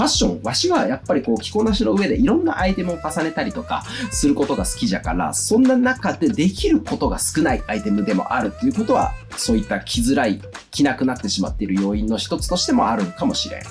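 The speech goes at a very fast pace over light background noise. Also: man. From Okayama, Japan. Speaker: fashion industry worker. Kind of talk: casual talk to camera. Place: home room.

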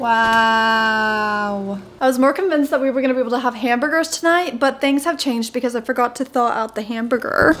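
A woman's high-pitched voice at a fairly quick pace, with hardly any pauses, very even loudness, and ordinary pitch variation. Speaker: vlogger. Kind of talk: casual vlog chat. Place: kitchen. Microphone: phone near.

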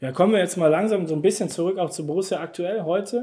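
The voice has a dark, mellow tone and ordinary pitch variation. It moves at a fast pace. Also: man, high pitch for a man.

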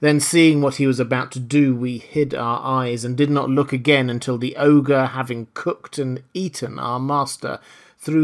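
In a very clean recording with a silent background, a man with a plain, everyday voice speaks at medium pitch and a moderate pace with fairly even intonation. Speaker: audiobook narrator. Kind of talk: dramatic audiobook narration. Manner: gripping, theatrical storytelling with suspenseful pacing; formal.

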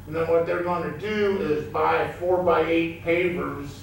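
Against light background noise and strong room echo, a man speaks at a high pitch with a monotone, flat intonation and a fairly slow pace. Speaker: member of the public addressing council. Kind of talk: public comment speech. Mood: friendly, lightly humorous. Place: hall.

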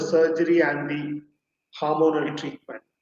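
Audible room echo surrounds the voice. There is light background noise. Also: man. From India, Chennai; India. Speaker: psychiatrist; guest. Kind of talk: interview. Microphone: connection drops; video call.

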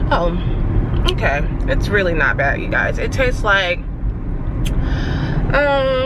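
Over loud background noise, a woman talks at a very slow pace, the sound dry with no echo. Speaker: vlogger. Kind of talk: casual vlog chat. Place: car. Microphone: phone near.

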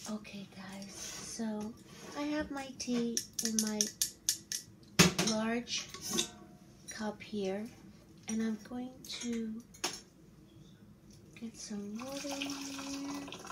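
A woman speaks at a very slow pace, leaving long, frequent pauses. Loud background noise runs behind her. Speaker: ASMR creator. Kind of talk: casual talk to camera. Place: kitchen. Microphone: phone near.

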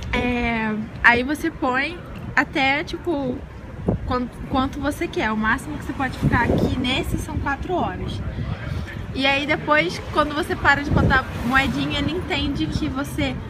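A woman speaks at a fairly slow pace with ordinary pitch variation. Loud background noise is present. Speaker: travel vlogger. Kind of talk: casual vlog chat. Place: street. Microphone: phone near.

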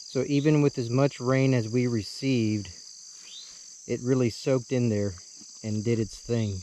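A fairly slow pace with light background noise and a dry sound with no echo. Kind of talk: casual vlog chat. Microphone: phone near.

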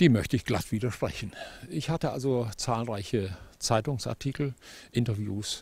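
A man talks at a moderate pace and medium pitch, somewhat breathy, with ordinary pitch variation and a dry sound with no echo. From Germany. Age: 70s. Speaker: farmer. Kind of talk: interview. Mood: aggrieved, firm. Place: open country. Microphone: handheld.

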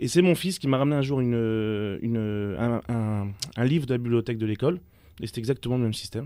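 A man's dark, mellow voice at a fairly quick pace, with ordinary pitch variation, in dry sound with no echo and a quiet background. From France, Nice; France. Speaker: magazine founder; radio guest. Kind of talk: radio interview. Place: studio. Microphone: studio mic.

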